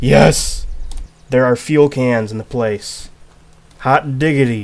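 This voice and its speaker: At a very slow pace, a man speaks. His pitch is medium, with ordinary variation. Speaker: gaming youtuber. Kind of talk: gameplay commentary. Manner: quiet; animated.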